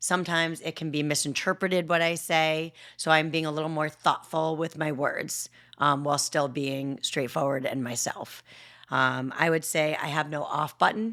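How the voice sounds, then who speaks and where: A loud woman's voice, very deep and low in pitch, with a bright, sharp tone, fairly even intonation and a moderate pace on a very clean recording with a silent background. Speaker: podcast co-host. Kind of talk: casual chat. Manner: straightforward.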